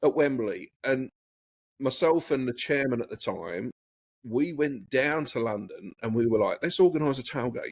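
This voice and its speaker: At a moderate pace, a man with a fairly high voice speaks with ordinary pitch variation. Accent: English. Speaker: guest, expat entrepreneur and former photographer. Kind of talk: casual chat.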